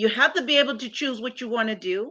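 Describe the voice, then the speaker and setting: The voice is raised and projected, moving at a fairly quick pace with lively intonation. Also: woman. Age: 60s. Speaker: real estate investor and business coach. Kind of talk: interview conversation.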